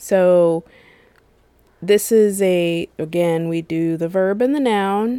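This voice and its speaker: A woman's dark, mellow voice at medium pitch, very slow, with ordinary pitch variation and long, frequent pauses. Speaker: podcast host. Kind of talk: casual chat.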